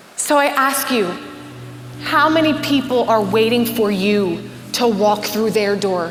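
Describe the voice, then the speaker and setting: A woman with a fairly high pitch, very even loudness, and noticeable background noise. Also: ordinary pitch variation. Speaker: keynote speaker. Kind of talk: keynote conference talk. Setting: live stage in front of an audience. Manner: energetic, engaging, motivational.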